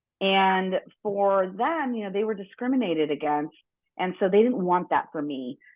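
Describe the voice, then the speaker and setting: Lively intonation marks a woman speaking at a medium pitch with a General American accent. She keeps a moderate pace. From Los Angeles, US. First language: Spanish. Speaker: business executive and board member. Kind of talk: podcast interview. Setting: studio.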